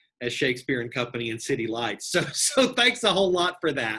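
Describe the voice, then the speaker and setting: In an East Texas accent, the voice has a bright, sharp tone and ordinary pitch variation. The pace is fairly quick. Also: man. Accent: East Texas twang. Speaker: bookstore general manager. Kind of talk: interview host conversation.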